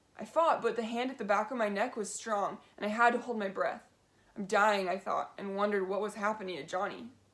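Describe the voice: Someone reads a text out loud. It is plain reading aloud.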